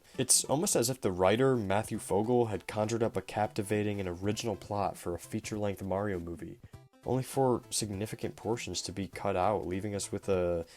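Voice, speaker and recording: A man talking at a fairly quick pace with ordinary pitch variation, music in the background. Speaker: movie review youtuber. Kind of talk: scripted narration. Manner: quiet; reading from a script.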